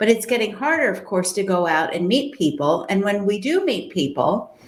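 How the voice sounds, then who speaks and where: Her pitch swings very widely around a medium level as a woman speaks in a room with audible echo. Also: moderate pace. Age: 60s. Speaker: matchmaker and dating coach. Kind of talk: interview.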